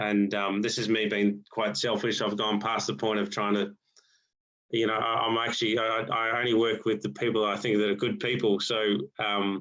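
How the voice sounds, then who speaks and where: Someone with an Australian accent speaks at a moderate pace with monotone, flat intonation and very even loudness. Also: man, fairly low pitch for a man. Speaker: golf coach. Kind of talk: online presentation to golf coaches. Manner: halting, many repetitions and fillers.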